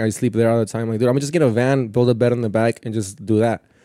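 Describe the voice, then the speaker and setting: A man's dark, mellow voice at a very fast pace on a very clean recording with a silent background. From Southern California, partly raised in Mexico. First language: Spanish. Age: 20s. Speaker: stand-up comedian. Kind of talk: casual chat. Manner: fast talker.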